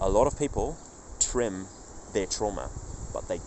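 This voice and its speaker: Noticeable background noise is present. Over it, a man talks at a moderate pace. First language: not English. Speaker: faith vlogger. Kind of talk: casual vlog monologue. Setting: outdoors in a park. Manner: halting, with many restarts.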